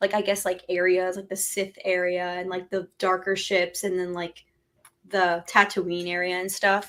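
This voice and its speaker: A woman's medium-pitched voice at a moderate pace, monotone with flat intonation. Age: 20s. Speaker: LEGO content creator. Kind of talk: casual chat.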